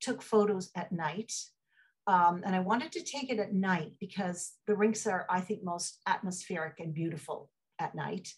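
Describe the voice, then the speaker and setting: A woman's somewhat breathy voice at a fairly slow pace, with ordinary pitch variation and a quiet background. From Ottawa, Canada; Canada. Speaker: photographer. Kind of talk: artist talk. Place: home room. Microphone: video call.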